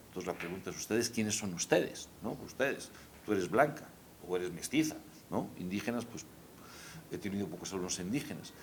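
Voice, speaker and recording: The voice carries lively intonation. It is delivered in a Spanish accent. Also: man. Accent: Spanish (Spain). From Spain. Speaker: historian and professor. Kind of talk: conversational discussion.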